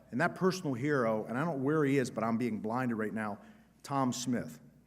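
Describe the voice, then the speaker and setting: A man talks in an animated tone at a fairly quick pace. Audible echo fills the room. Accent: American. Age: 60s. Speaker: state senator. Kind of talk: conference speech. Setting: stage with audience. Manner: halting.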